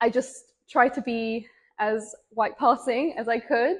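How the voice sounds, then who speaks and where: Speaking at a very slow pace, a woman talks with an English accent. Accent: British English (English). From England. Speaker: interviewee. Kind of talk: interview testimony.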